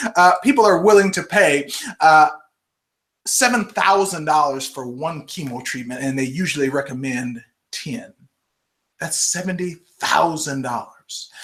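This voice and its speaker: A man with a fairly high pitch talks at a fairly slow pace in an animated tone with lively intonation. His loudness swings widely, and he takes long, frequent pauses. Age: 40s. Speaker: health author and livestream host. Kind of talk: live stream Q&A and book promotion. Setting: live video broadcast.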